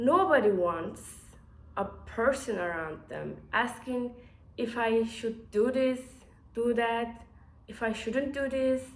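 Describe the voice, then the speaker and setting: The delivery is very slow, with long, frequent pauses and ordinary pitch variation. Audible room echo surrounds the voice. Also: woman, fairly high pitch for a woman. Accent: non-native. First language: not English. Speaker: engineer and startup founder. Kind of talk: casual vlog to camera. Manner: halting, many fillers and restarts.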